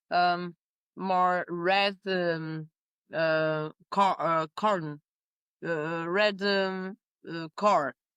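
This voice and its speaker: Speaking with a Portuguese accent, a woman has a fairly low pitch. She talks very slowly, with long, frequent pauses. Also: fairly even intonation, dry, close sound with no echo. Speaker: winemaker. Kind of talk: interview conversation. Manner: halting with many fillers.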